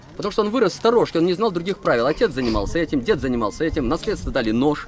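Faint music can be heard in the background. The sound is dry, with no echo. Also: man. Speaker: tour guide storyteller. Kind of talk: storytelling talk to a group. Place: open country. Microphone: phone near.

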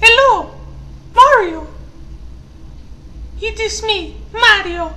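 Clear background noise sits behind a put-on character voice with an extremely high pitch at a very slow pace.

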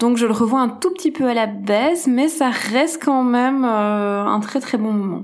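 A woman speaks at a fairly slow pace with hardly any pauses, her high voice keeping very even loudness and ordinary pitch variation. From Belgium. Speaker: screenwriter. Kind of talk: casual discussion. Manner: halting, many hesitations.

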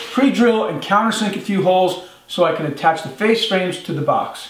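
Over light background noise and audible room echo, a man with a high pitch speaks at a fairly quick pace with ordinary pitch variation. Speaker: woodworking instructor. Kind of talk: tutorial. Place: workshop.

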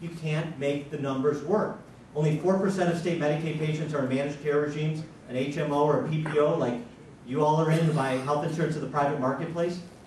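Over light background noise and audible room echo, a man talks at a fairly quick pace with fairly even intonation. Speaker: candidate. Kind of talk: forum speech. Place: hall.

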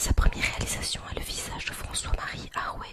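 A woman whispers at a fairly slow pace. Music plays in the background. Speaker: ASMR artist. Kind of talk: whispered history reading. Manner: whispered. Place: home room. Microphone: studio mic.

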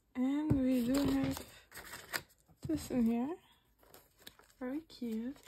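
Against noticeable background noise, a woman speaks very slowly at a high pitch with ordinary pitch variation. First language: Dutch. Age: 20s. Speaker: unboxing vlogger. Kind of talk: casual unboxing commentary. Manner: halting. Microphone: phone near.

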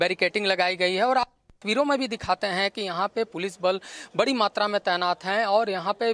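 The speech comes at a moderate pace in a dry sound with no echo. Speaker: field news reporter. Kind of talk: live news report to anchor. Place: street. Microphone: handheld.

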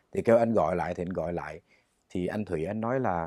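Against a quiet background, a man is heard with a dry sound that has no echo. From Vietnam. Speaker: singer; interview guest. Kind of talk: interview. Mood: calm, reflective storytelling. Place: studio. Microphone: lapel.

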